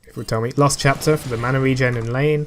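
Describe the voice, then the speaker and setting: A man mumbles at a very fast pace with fairly even intonation while music plays in the background. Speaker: gaming commentator. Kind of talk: gameplay commentary. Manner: mumbling.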